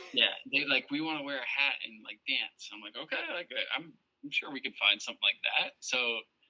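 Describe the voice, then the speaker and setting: With an Ohio accent, a man talks at a fairly quick pace, his loudness swinging widely, in a dry, close sound with no echo. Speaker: podcast guest, fantasy football champion. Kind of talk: casual chat.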